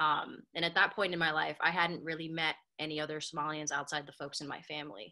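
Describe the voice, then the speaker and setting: Against a quiet background, a woman with an American accent speaks very fast in a very deep, low voice with a bright, sharp tone and fairly even intonation. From Minnesota, Minneapolis. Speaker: multidisciplinary artist. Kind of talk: illustrated talk. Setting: video call. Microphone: webcam.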